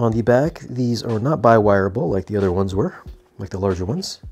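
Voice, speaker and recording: Ordinary pitch variation at a fairly quick pace, with faint music in the background. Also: man. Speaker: product reviewer. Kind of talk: product review commentary. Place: home room. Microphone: lapel.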